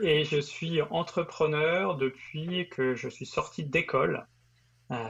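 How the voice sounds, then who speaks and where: A man at a fairly high pitch, speaking at a very slow pace with ordinary pitch variation. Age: 40s. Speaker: entrepreneur. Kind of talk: interview. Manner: halting.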